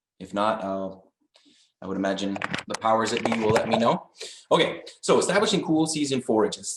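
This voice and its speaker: The pitch of this man's voice sits at a medium level and varies in an ordinary way. He keeps a moderate speed. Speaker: agricultural extension agent. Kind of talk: webinar presentation. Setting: video call. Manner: loud.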